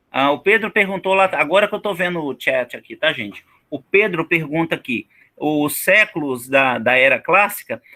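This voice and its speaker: A man speaks at a high pitch and a fairly slow pace. His tone is bright and sharp, with lively intonation. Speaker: teacher. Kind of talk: online lecture. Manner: casual, many fillers.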